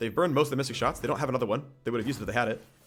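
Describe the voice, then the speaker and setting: A man's voice sits at a medium pitch and shows ordinary pitch variation. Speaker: game streamer. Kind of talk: live gameplay commentary. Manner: loud. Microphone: too close to the microphone.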